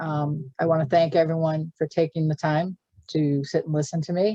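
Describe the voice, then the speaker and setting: In a Boston accent, a woman speaks at a moderate pace with a fairly low pitch and a dark, mellow tone, the sound dry and close with no echo. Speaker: government finance presenter. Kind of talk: webinar Q and A. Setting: video call webinar. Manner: a bit halting.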